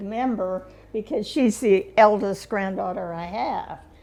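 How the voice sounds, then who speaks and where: With noticeable background noise, a woman speaks at a fairly slow pace and fairly high pitch, her pitch varying in an ordinary way. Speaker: community volunteer, award recipient. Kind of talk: casual chat. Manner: halting.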